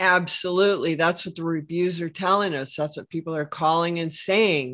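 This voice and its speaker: With a plain, everyday voice, a woman talks at a moderate pace in a fairly low pitch, her pitch variation ordinary against a quiet background. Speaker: health product entrepreneur, former engineer. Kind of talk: podcast interview.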